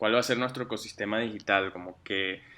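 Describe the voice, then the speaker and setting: A man with a slight Mexican accent, a fairly low pitch and a bright, sharp tone at a fairly quick pace. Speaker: digital strategist. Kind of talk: interview. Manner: hesitant, many fillers.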